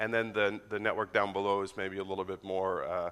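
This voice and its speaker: Speaking with an American accent, a man has a fairly low pitch and a bright, sharp tone. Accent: sounds American. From Netherlands. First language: Dutch. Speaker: network engineer and conference speaker. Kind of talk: conference talk. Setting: stage with audience. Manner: fast.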